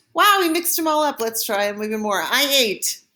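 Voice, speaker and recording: A woman speaks in a high, raised, projected voice. Her pitch swings very widely. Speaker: French teacher. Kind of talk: tutorial.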